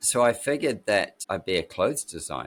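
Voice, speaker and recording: This is a man speaking. He has a New Zealand accent. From New Zealand (Christchurch, Wellington). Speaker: architect and designer. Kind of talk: interview, life story. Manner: casual, halting with fillers.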